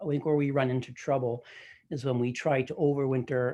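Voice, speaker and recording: With a Canadian accent, a man speaks at medium pitch in fairly even intonation. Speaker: beekeeping speaker. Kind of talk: presentation. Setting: video call. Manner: fast.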